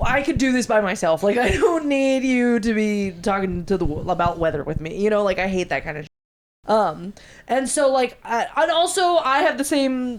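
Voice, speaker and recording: A loud, animated voice with very wide pitch swings and hardly any pauses. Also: woman, fairly high pitch for a woman, moderate pace. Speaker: podcast host. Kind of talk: casual chat.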